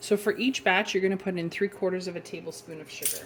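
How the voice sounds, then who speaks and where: Through noticeable background noise comes a woman speaking at medium pitch. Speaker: cooking youtuber. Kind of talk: tutorial. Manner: soft-spoken.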